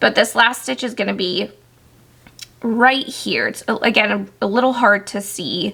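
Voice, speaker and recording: Fairly slow speech from a woman with a bright, sharp tone, fairly high pitch, vocal fry and fairly even intonation. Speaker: crochet tutorial maker. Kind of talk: tutorial.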